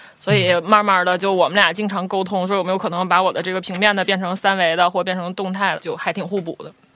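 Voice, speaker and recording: Over noticeable background noise, a woman speaks very fast with hardly any pauses, at a medium pitch and with monotone, flat intonation. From Northeast China, Shenyang. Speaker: designer, studio co-founder. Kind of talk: casual interview chat.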